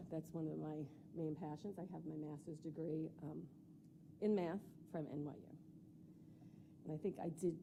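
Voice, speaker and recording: At a moderate pace, a woman with a very deep, low pitch speaks in a flat monotone, with vocal fry and a dark, mellow tone. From New York. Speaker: school board candidate. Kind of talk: candidate interview. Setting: public board meeting.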